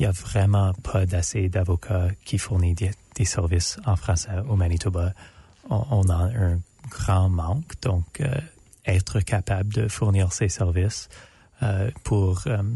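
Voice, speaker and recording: Very slow and very deep, a man with an English accent speaks in a dark, mellow, somewhat breathy tone, his loudness very even. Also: ordinary pitch variation. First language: English (speaking French). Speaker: law student intern. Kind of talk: radio interview. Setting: radio studio. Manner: halting, many hesitations.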